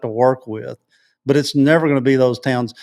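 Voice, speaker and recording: In a very clean recording with a silent background, a man with a West Texas accent talks at a fairly quick pace, his fairly high pitch held in fairly even intonation. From West Texas, Odessa. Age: 60s. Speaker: local activist. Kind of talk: interview. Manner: halting, repetitive.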